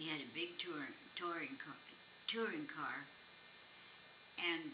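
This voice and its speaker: Noticeable noise fills the background. Through it, a female voice talks. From Calexico, California. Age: 80s+. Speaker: great grandmother. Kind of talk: interview answer.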